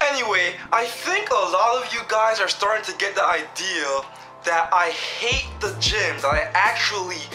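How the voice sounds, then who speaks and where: A man speaking at a fairly slow pace, with clear music in the background. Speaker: fitness vlogger. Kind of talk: casual vlog chat. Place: home room. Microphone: webcam.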